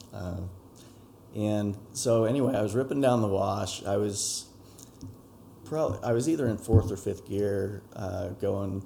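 Calm and fairly low-pitched, a man speaks with an American accent and ordinary pitch variation. His pace is fairly slow, with long, frequent pauses. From Utah, Utah Valley. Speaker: dirt bike rider. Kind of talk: interview. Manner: calm, subdued. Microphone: poorer audio quality than solo studio recordings.

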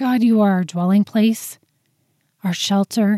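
Dry and close with no echo, a woman's somewhat breathy voice has a dark, mellow tone, medium pitch, and fairly even intonation. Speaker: prayer podcast host. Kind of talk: fervent spoken prayer addressed to God. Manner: earnest, heartfelt, fervent.

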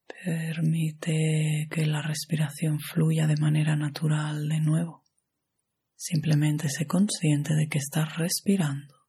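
In a gentle, calm tone that is dark, mellow and somewhat breathy, a woman speaks very slowly with a very deep, low pitch and monotone, flat intonation. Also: very even loudness. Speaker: yoga nidra guide. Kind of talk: guided meditation. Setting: audio recording for lying down and relaxing. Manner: slow, calm, soothing, with long pauses; soft-spoken, gentle and hushed.

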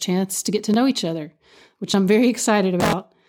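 Her medium pitch moving with ordinary variation, a woman speaks in an animated tone with an Appalachian accent. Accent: Appalachian Kentucky. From Eastern Kentucky, Appalachia. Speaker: podcast host, musician and dancer. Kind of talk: solo podcast monologue.

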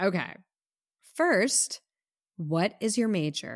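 In an American accent, a woman speaks at a very slow pace with very wide pitch swings. The sound is dry and close, with no echo. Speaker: podcast co-host. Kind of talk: casual podcast chat, music review.

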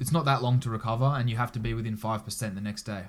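A man with an Australian accent, fairly low in pitch, at a very fast pace, on a very clean recording with a silent background. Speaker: Olympic judo athlete. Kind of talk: casual interview chat.

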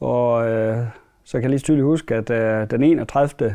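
Against a quiet background, a man with a dark, mellow tone talks with ordinary pitch variation. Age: 40s. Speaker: dairy farmer. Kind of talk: interview. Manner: halting, many fillers.

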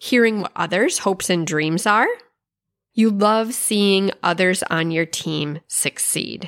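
A woman with a normal speaking voice talks at a fairly slow pace and medium pitch, with ordinary pitch variation, in a very clean recording with a silent background and a dry, close sound with no echo. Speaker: podcast host and success strategist. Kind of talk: pep talk, motivational monologue. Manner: warm, encouraging, upbeat; rhythmic, repetitive 'You love...' list delivery.

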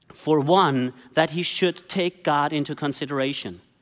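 A man talks with a German accent at a fairly high pitch. His pace is fairly slow. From Germany. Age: 40s. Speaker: pastor. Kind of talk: sermon.

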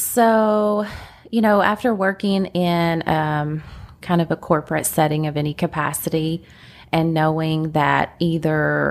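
A woman's very deep, low voice with a Kentucky accent and ordinary pitch variation, in a very clean recording with a silent background. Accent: Kentucky country. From Kentucky, Lexington. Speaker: real estate agent. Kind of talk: casual interview chat. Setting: podcast recording. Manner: slightly nervous.

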